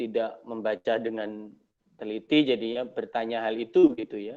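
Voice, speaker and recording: Moving at a moderate pace, a man speaks with ordinary pitch variation. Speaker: university lecturer. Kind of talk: online Q&A lecture session. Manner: quiet. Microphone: not using a microphone, voice a bit quiet.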